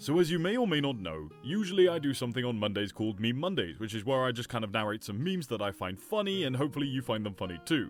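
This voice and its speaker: With music in the background, a man at medium pitch speaks at a very fast pace, his pitch swinging very widely. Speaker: reddit story narrator. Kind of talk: casual commentary to camera.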